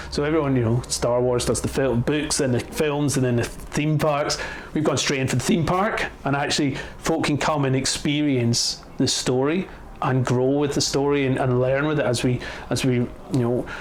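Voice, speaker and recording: Man with a Scottish accent at a medium pitch, fairly even intonation and very even loudness, amid noticeable background noise and audible room echo. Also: moderate pace. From Scotland. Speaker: attraction co-founder. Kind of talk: interview. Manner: halting, many repetitions and fillers.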